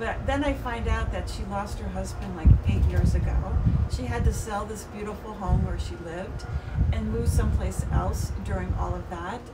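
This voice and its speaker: Speech at a moderate pace amid loud background noise. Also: woman. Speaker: video podcast co-host. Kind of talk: casual chat. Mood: warm, hopeful. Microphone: camera far.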